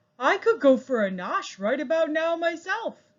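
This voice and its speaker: In a put-on character voice, the speaker talks at a high pitch and a moderate pace. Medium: read story. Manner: eager, repetitive.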